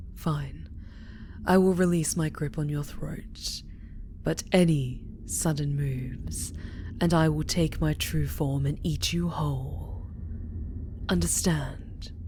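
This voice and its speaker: A woman growls in a put-on character voice, speaking fairly slowly with long, frequent pauses. Background noise is clearly heard. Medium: audio drama. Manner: commanding, intense.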